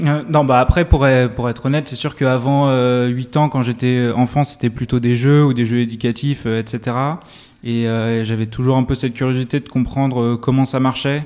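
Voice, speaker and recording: Speech comes at a moderate pace with monotone, flat intonation. The recording is very clean, and the background is silent. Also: man, medium pitch for a man. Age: 20s. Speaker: tech startup co-founder and CTO. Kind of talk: interview.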